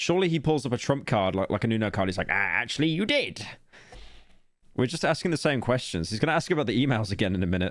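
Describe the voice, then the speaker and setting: A man with an English accent and a medium pitch, very fast, with very wide pitch swings, on a very clean recording with a silent background. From England. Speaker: streamer. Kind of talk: reaction commentary. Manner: sarcastic.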